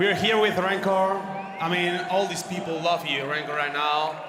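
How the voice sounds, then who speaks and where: A man with a Spanish accent speaks at a moderate pace in a high voice for a man. Audible room echo and noticeable background noise surround him. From Spain. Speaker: stage interviewer. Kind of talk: post-match interview. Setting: stage with audience.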